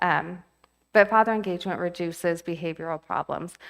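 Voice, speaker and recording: The voice belongs to a woman. Her recording is spotless, with nothing heard behind her. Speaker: mental health professional, presenter. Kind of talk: lecture. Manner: fast; animated.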